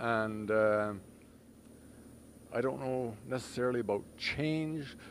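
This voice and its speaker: A man at medium pitch talks at a very slow pace, with audible room echo around his voice. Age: 60s. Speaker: motorcycle club officer. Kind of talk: interview.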